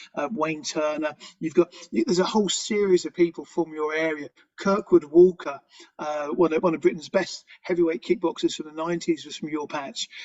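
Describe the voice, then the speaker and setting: A man with a fairly high pitch talks at a fairly quick pace. His intonation stays fairly even while his loudness swings widely. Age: 50s. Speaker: former mixed martial artist and researcher. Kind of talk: interview. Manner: halting, many repetitions.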